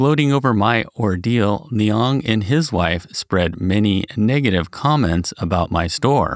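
At a moderate pace, a man with an unremarkable speaking voice and a fairly low pitch uses lively intonation, recorded very cleanly against a silent background with a dry, close sound and no echo. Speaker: narrator reading practitioner's article. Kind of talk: reading aloud a written article.

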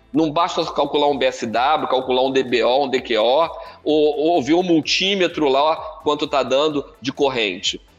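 Over noticeable background noise, a man talks fairly slowly at a fairly high pitch, with very even loudness and ordinary pitch variation. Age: 50s. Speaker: professor. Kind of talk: lecture. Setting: live stream. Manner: talkative.

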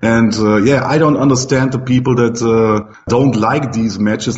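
Audible room echo and noticeable background noise surround the recording. A man speaks at medium pitch in a monotone, flat way. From Germany. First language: German. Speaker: pinball streamer. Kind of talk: casual interview. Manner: hesitant, many fillers.

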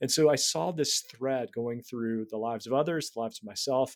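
With lively intonation and a fairly quick pace, a man speaks in an ordinary speaking voice at a medium pitch. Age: 40s. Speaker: writer, spiritual director and former pastor. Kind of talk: casual interview about faith.

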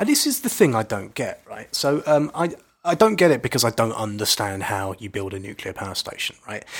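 A man with a British accent talks at a fairly quick pace. His loudness rises and falls sharply. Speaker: environmental podcast co-host. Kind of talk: casual chat. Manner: playful.

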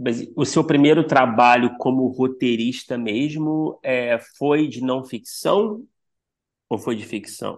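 A man talks very slowly, his medium-pitched voice showing ordinary pitch variation. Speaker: podcast host. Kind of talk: casual interview chat.

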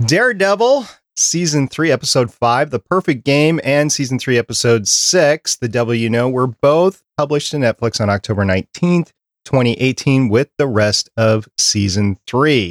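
A man with an American accent speaks at a medium pitch and a moderate pace, with lively intonation and very even loudness. The sound is dry and close with no echo, on a very clean recording with a silent background. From Minnesota. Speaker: podcast producer and co-host. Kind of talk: casual chat. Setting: studio, livestreamed.

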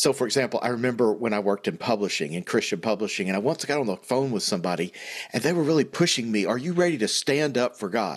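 The intonation is lively as a man speaks. His pace is very fast. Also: medium pitch for a man. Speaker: podcast host. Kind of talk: casual Bible study discussion.

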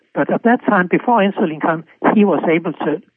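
Here a man speaks with a Danish accent. His pace is moderate and his intonation lively. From Denmark. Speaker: physician and cholesterol researcher. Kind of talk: interview. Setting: remote call. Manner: halting, with many repetitions.

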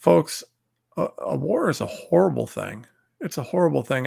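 A man's fairly bright tone with vocal fry, at a moderate pace.

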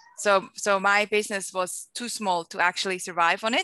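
A woman with a Swiss accent speaks at a moderate pace. The sound is dry and close with no echo, over a quiet background. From Switzerland. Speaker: entrepreneur and marketing educator. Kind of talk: interview. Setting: video call.

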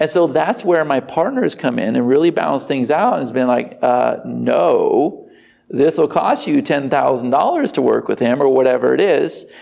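A man talks at a moderate pace with very even loudness and hardly any pauses. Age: 40s. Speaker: online marketing entrepreneur and former police officer. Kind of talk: interview.

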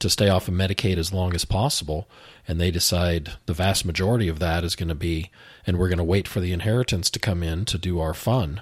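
In a very clean recording with a silent background, a man with a very deep, low pitch and ordinary pitch variation speaks at a fairly quick pace, sounding somewhat breathy. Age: 50s. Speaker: finance instructor and financial planner. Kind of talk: educational talk show. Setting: studio.

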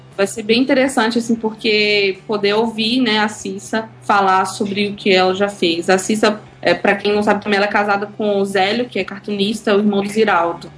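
At a moderate pace and with hardly any pauses, a woman of medium pitch speaks with fairly even intonation over noticeable background noise. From Bahia, Brazil (Eunápolis). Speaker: comics blogger. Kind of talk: casual interview.

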